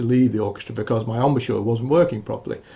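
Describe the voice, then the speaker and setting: In a somewhat breathy voice with a dark, mellow tone, a man speaks at a medium pitch with ordinary pitch variation. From England. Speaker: musician and music teacher. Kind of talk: interview conversation. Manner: hesitant, many fillers.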